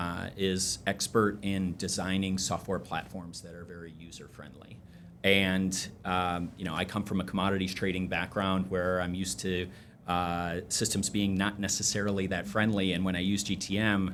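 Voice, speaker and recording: A man with an American accent, very deep and low in pitch, in a flat monotone at a moderate pace. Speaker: energy trading company CEO. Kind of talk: podcast interview. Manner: hesitant, many fillers.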